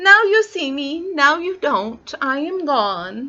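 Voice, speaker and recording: This put-on character voice moves at a fairly slow pace and swings very widely in pitch. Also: woman, high pitch for a woman. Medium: read story. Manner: polite, mild, genteel.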